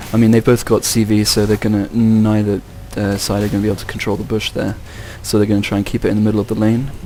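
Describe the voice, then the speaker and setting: A man speaks very fast in a fairly low, flat monotone over background music. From England. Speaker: game commentator. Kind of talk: live commentary.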